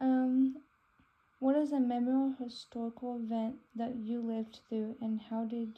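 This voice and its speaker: Speaking with an American accent at a moderate pace, a woman has a fairly high pitch, a dark, mellow tone and monotone, flat intonation. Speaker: student interviewer. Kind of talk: interview.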